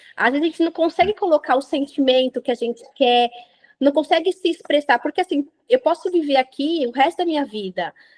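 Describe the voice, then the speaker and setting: High-pitched and animated, a woman talks at a fairly quick pace with lively intonation in a dry, close sound with no echo. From Brazil. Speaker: printing industry professional. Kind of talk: interview.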